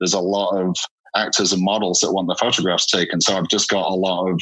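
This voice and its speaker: Talking at a very fast pace with a northern English accent, a man holds a very deep, low pitch in a monotone, flat intonation. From northern England, Hull, Yorkshire. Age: 40s. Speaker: portrait photographer. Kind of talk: interview. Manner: hesitant, many fillers.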